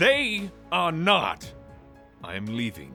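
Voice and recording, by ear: Over faint background music, a man does a put-on character voice at a slow pace, fairly high in pitch with very wide swings, a bright, sharp tone and vocal fry.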